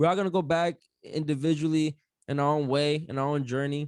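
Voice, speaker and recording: An animated man comes through a dry, close recording with no echo and a silent, very clean background. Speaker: podcaster, guest. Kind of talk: casual chat. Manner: loud.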